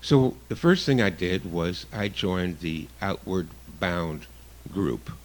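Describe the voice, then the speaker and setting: A man with a very deep, low pitch and vocal fry speaks very slowly, his intonation lively. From Canada. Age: 60s. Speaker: guest radio host, survivalist. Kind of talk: radio talk show monologue. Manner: casual, some hesitations.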